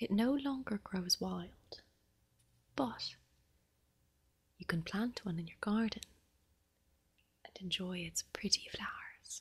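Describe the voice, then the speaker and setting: A soft-spoken woman with an Irish accent talks at a very slow pace in a medium-pitched, somewhat breathy voice. Her pitch variation is ordinary. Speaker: ASMR creator. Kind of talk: ASMR bedtime story reading.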